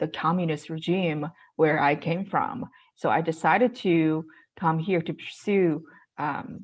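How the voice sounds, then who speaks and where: Against a quiet background, a woman with a Chinese accent talks at a fairly low pitch with ordinary pitch variation. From China. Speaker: real estate investor. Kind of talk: interview. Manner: halting, many fillers.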